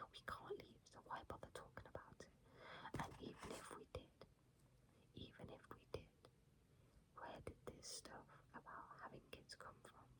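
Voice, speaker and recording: A woman whispering at a moderate pace, with long, frequent pauses. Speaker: ASMR creator. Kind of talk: ASMR book reading. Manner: whispered.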